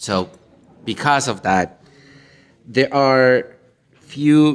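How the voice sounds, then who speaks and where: Speaking with a non-native accent, this man uses a medium pitch. His pace is very slow. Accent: non-native English speaker. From Colombia. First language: Spanish. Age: 40s. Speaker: minister and panelist. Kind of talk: panel discussion. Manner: halting.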